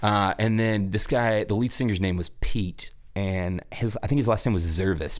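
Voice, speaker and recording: At a moderate pace with hardly any pauses, a man with a fairly low pitch keeps a normal speaking voice at very even loudness. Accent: American. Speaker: musician. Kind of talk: casual interview.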